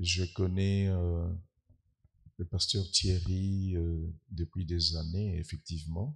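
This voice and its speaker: Soft-spoken and somewhat breathy, a man with a very deep, low voice talks at a very slow pace with long, frequent pauses and fairly even intonation, on a very clean recording with a silent background. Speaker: guest preacher, scientist. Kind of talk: sermon. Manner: hesitant, many filler sounds.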